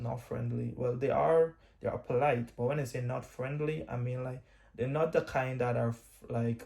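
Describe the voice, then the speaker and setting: Somewhat breathy and dark, mellow in tone, a man of medium pitch with an American accent speaks with fairly even intonation. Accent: Guyanese, leaning toward US English. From Guyana. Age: 20s. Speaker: vlogger. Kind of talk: storytime monologue. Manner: halting.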